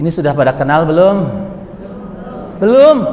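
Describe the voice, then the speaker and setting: With a West Javanese accent, a man speaks amid noticeable background noise and audible room echo. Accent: noticeable West Java. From West Java, Bogor. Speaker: Islamic preacher. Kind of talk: religious lecture. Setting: mosque with audience. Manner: casual, conversational with audience.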